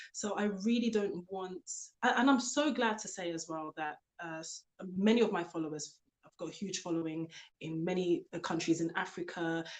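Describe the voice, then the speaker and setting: A moderate pace, ordinary pitch variation, and big swings in loudness. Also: woman, medium pitch for a woman. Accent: British. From UK. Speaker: author and elegance coach. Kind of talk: interview.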